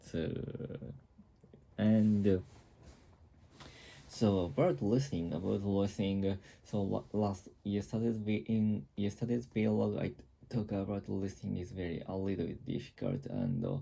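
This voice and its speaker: A man with a Japanese accent, a dark, mellow tone, ordinary pitch variation, a fairly slow pace and long, frequent pauses. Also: fairly low pitch for a man. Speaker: vlogger. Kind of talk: casual monologue vlog. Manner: halting, many fillers and restarts.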